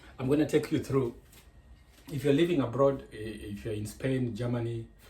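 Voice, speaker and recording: Speaking at a moderate pace, a man has a dark, mellow, somewhat breathy tone with ordinary pitch variation. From Kenya. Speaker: cooking vlogger. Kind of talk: cooking tutorial. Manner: halting.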